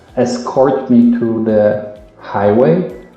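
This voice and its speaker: With a strong European accent, a man speaks amid noticeable background noise and audible room echo. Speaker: travel vlogger. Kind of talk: personal storytelling. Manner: halting.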